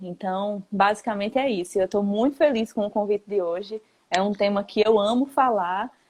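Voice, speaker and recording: In a northeastern Brazilian accent, a woman speaks at a medium pitch. Her pace is moderate, with ordinary pitch variation. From Northeast Brazil, Paraíba. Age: 20s. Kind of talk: casual chat. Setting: Instagram live.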